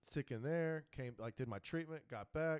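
With a normal speaking voice, a man talks at a moderate pace with ordinary pitch variation. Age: 30s. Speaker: pro wrestler and MMA fighter. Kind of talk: casual chat.

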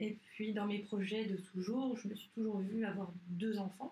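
The tone is dark and mellow, somewhat breathy. Delivery comes at a fairly slow pace. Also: woman. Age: 30s. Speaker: breast cancer survivor, prevention advocate. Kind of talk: interview about personal story. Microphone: poor sound quality.

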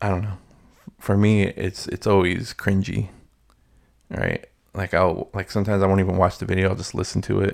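A man talks in a flat monotone, fairly low in pitch and at a fairly quick pace. He leaves long, frequent pauses. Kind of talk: casual solo monologue. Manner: halting, many fillers.

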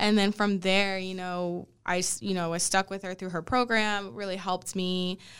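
With an American accent, a woman speaks at a moderate pace with hardly any pauses, in an unremarkable speaking voice of medium pitch. Her intonation is fairly even, and the recording is very clean with a silent background. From Texas, Dallas. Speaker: pharmacist, podcast co-host. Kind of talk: casual chat.

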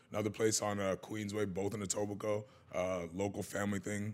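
This man has an unremarkable speaking voice pitched fairly low. He talks at a fairly quick pace. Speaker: podcast host. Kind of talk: casual chat.

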